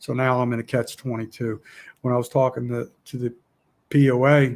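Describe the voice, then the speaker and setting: The man's voice has a medium pitch. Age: 60s. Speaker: outdoors YouTuber. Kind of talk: casual live chat. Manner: halting, repetitive.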